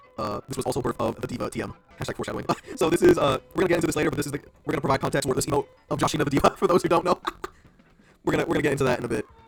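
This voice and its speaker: Music plays behind a man talking at a very fast pace with long, frequent pauses. His pitch is fairly high and his tone animated. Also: ordinary pitch variation. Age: 20s. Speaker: streamer. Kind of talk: casual livestream self-introduction.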